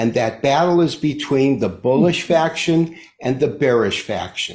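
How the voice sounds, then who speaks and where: Speaking fairly slowly in an American accent, this voice is somewhat breathy and has lively intonation. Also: man. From US Midwest, Detroit. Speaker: market analyst. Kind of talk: interview explanation.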